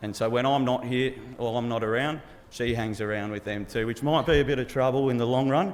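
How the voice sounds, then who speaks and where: The speaker moves at a fairly quick pace with fairly even intonation. Noticeable background noise runs behind the voice. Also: man, medium pitch for a man. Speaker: groom giving wedding speech. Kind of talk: wedding speech. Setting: wedding reception with audience. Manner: loud; halting, lots of ums and repeats.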